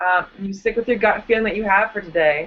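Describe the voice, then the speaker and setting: Speaking at a moderate pace, a woman talks with a slight Wisconsin accent. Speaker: comedian. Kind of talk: casual chat. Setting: video call. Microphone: weak connection.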